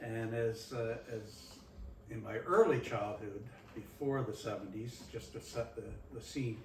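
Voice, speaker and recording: Amid noticeable background noise and audible room echo, a man with a Nova Scotian accent speaks at medium pitch and a fairly slow pace with fairly even intonation. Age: 70s. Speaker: community presenter. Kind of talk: reminiscing talk to audience.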